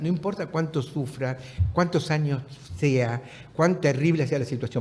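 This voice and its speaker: Somewhat breathy, a man speaks at a moderate pace. His intonation is lively. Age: 70s. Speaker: writer and former political prisoner. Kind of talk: casual chat. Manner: halting.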